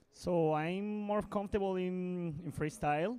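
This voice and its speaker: The speaker has a Colombian accent. Their pitch varies in an ordinary way. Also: man. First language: Spanish. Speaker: indoor skydiving athlete. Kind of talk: interview. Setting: interview studio at indoor skydiving competition. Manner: halting.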